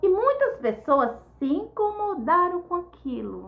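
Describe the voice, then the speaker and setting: This is a woman speaking. Her tone is animated. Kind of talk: devotional teaching.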